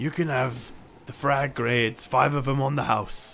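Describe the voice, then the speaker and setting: A man in a put-on character voice, medium in pitch, at a moderate pace over clear background noise. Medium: actual play. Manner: chummy, easygoing, excitable.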